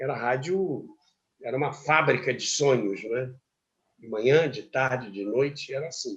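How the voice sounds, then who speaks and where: Somewhat breathy, a man talks at a fairly slow pace with medium pitch and ordinary pitch variation. His loudness swings widely. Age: 80s+. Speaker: radio broadcaster. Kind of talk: interview answer.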